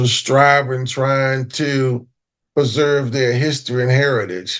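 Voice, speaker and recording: American-accented male speech. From US, Baltimore, Maryland. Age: 70s. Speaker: historian and foundation founder. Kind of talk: interview.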